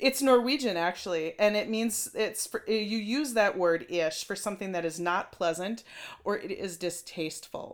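Speaking in a Minnesotan accent, a woman uses lively intonation at medium pitch. Her pace is moderate. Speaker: podcast co-host. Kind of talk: casual chat.

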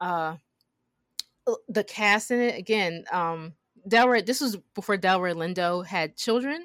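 With a plain, everyday voice, a woman speaks at a fairly slow pace, her pitch medium and ordinarily varied, on a very clean recording with a silent background. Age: 30s. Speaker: film podcast co-host. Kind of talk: casual chat.

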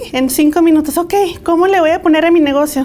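High woman's voice against noticeable background noise. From Mexico (Guadalajara, Jalisco) and California. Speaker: entrepreneur, business owner. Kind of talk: interview.

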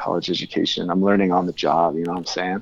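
The speaker is a man. He talks with a Californian accent. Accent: Californian American. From California (Tehachapi). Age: 30s. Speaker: album cover artist. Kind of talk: casual chat.

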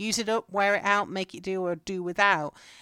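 In an English accent, a woman speaks at a fairly slow pace with a bright, sharp tone and ordinary pitch variation. The recording is very clean, with a silent background. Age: 30s. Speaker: homesteading podcast host. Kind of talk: solo podcast monologue. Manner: casual.

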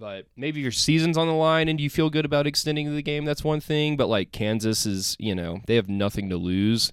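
A man with a normal speaking voice, fairly high in pitch, with lively intonation, a fairly quick pace and hardly any pauses, on a very clean recording with a silent background. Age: 20s. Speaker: sports podcast host. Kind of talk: casual solo commentary.

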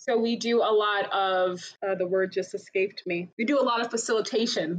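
A woman speaks at a fairly slow pace in a fairly high voice. Background noise is noticeable. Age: 30s. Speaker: actor, singer and dancer. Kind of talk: casual chat.

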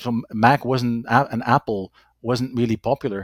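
With a Dutch accent and ordinary pitch variation, the speech comes through a very clean recording with a silent background. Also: man, dry, close sound with no echo. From Belgium. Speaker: FileMaker consultant. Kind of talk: interview.

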